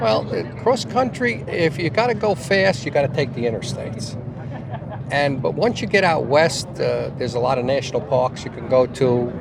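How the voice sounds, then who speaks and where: Noticeable background noise sits behind a man's voice. He speaks at a moderate pace in a medium pitch with ordinary pitch variation. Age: 70s. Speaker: motorcyclist. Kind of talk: casual interview. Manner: halting.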